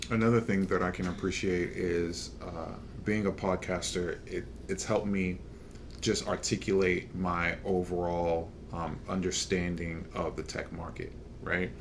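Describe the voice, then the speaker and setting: Fairly slow speech with audible room echo. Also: man, very deep, low pitch for a man, ordinary pitch variation. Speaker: podcast host. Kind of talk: casual chat. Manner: hesitant, halting.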